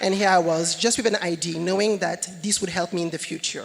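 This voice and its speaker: At a fairly quick pace, a woman with a non-native accent speaks at a fairly low pitch with fairly even intonation. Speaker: company executive, panelist. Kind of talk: conference panel talk. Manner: hesitant, many fillers.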